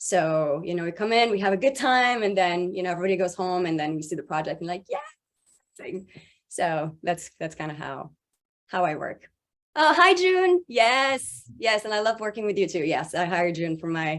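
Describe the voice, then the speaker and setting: A woman speaks in a French accent at a medium pitch. Her intonation is lively. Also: moderate pace. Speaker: voice actor and voice director. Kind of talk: panel discussion. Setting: video call.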